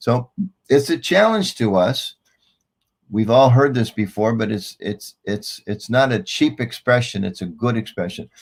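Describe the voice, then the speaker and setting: This man has a normal speaking voice, medium in pitch, with ordinary pitch variation and a fairly slow pace. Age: 60s. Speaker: spiritual speaker. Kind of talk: educational talk to students.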